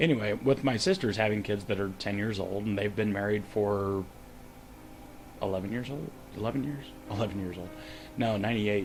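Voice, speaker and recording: Over music in the background, a man with a fairly low pitch and fairly even intonation speaks at a fairly quick pace with long, frequent pauses. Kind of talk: casual talk to camera.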